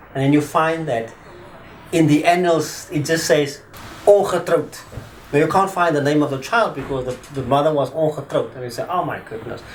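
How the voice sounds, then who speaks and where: Amid noticeable background noise and audible room echo, a man talks at a moderate pace in a fairly high pitch with ordinary pitch variation. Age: 50s. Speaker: attorney. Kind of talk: interview testimony. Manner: hesitant.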